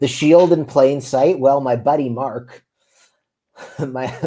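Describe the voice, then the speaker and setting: Medium in pitch, this man speaks with a Canadian accent. His pace is very slow, with ordinary pitch variation. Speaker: reality TV contestant. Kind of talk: interview. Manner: loud; animated.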